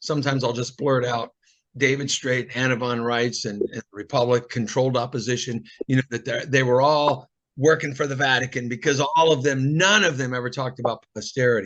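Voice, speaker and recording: A fairly quick pace with fairly even intonation. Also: man, medium pitch for a man. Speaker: discussion host. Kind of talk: casual group discussion. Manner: fast.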